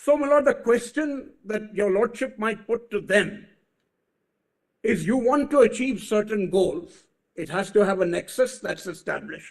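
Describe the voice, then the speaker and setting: A man with a high voice talks at a fairly slow pace, his pitch rising and falling in an ordinary way. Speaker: senior advocate. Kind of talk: courtroom argument. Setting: courtroom. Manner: formal.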